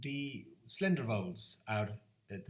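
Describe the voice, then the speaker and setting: Here a man speaks at a very slow pace. His voice is somewhat breathy. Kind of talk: educational talk to camera. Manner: rambling, hesitant.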